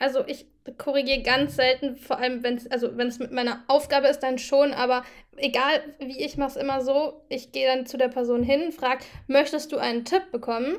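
A woman speaks at a fairly quick pace in a high pitch, her intonation monotone and flat. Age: 20s. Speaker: student and amateur athlete. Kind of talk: casual chat. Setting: video call.

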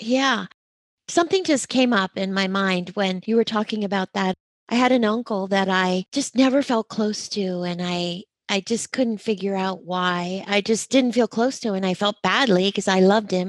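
In a normal speaking voice, a woman talks at a moderate pace and medium pitch with ordinary pitch variation, the sound dry and close with no echo. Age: 60s. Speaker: podcast host. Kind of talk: interview; scripted intro.

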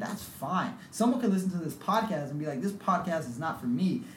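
Over noticeable background noise and audible room echo, a man with an American accent talks at a fairly quick pace with ordinary pitch variation. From US West Coast, South San Francisco. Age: 20s. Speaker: podcast host. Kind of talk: casual chat.

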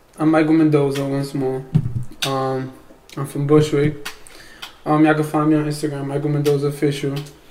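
Through noticeable background noise, a man with a New York accent talks at a fairly quick pace with long, frequent pauses, his fairly high pitch held in monotone, flat intonation. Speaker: singer. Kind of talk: casual panel discussion. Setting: studio.

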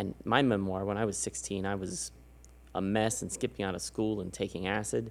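In an American accent, a man with a plain, everyday voice speaks fairly low and fairly quickly, his intonation lively. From San Antonio, Texas. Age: 40s. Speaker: podcast host. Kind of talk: casual interview chat.

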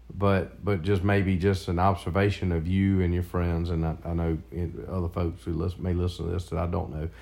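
In a South Carolina accent, a man with a very deep, low voice and a dark, mellow tone talks at a fairly quick pace with hardly any pauses and monotone, flat intonation. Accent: Southern US (South Carolina). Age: 50s. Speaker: father of the host. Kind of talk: casual chat. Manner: halting.

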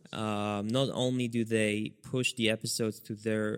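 A man with an Israeli accent and a fairly low voice at a fairly slow pace, in a dry, close sound with no echo. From Israel, near Netanya. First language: Hebrew. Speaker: podcast host. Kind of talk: casual chat.

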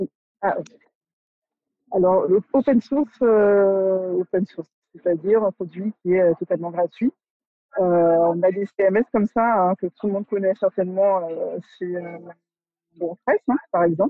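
At a fairly slow pace with long, frequent pauses, a woman speaks at medium pitch with ordinary pitch variation. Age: 30s. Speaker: art director. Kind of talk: interview. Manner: halting.

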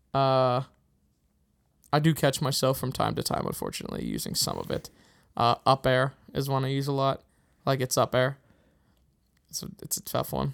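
Here is a moderate pace with long, frequent pauses and a Pittsburgh accent. The intonation stays monotone and flat. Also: man, medium pitch for a man. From Pittsburgh, US. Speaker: podcast host. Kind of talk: casual chat.

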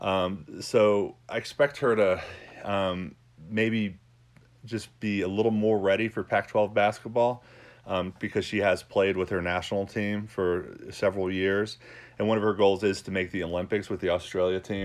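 A man talks at a moderate pace in a plain, everyday voice. His pitch is fairly low. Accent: American. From New York. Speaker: sports podcast host. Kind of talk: solo podcast monologue. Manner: casual, with many fillers.

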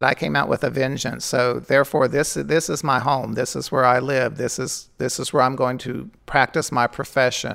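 A man's medium-pitched voice with vocal fry, fairly even intonation, a moderate pace and hardly any pauses, on a very clean recording with a silent background. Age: 60s. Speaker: drag performer. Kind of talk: interview.

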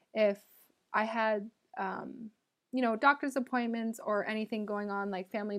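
This woman talks at a moderate pace in an ordinary speaking voice with a Canadian accent, her pitch fairly high and varying normally. The recording is very clean, with a silent background. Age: 20s. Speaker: podcast host. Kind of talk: solo Q&A monologue.

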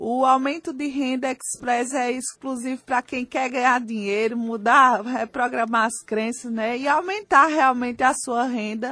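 The voice has a bright, sharp tone and a Pernambuco accent. It moves at a fairly slow pace with hardly any pauses. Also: woman, high pitch for a woman, ordinary pitch variation. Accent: Pernambuco accent, noticeable. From Brazil, Recife (Pernambuco). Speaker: life coach. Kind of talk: radio interview. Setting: radio studio.

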